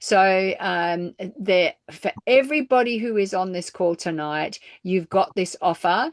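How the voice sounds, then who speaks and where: Against a quiet background, a woman talks fairly slowly at a medium pitch with lively intonation and a dry, close sound with no echo. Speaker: network marketing distributor. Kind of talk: sales pitch. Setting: group call.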